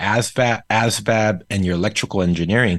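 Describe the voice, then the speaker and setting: Against a quiet background, a man with a Korean accent talks at a very fast pace, his fairly low voice carrying lively intonation. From South Korea. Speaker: startup founder and entrepreneur. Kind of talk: casual interview.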